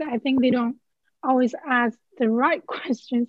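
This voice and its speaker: A woman with a Chinese accent speaks at a high pitch and a moderate pace. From Henan, China. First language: Mandarin Chinese. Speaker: PhD student. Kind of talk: casual interview conversation.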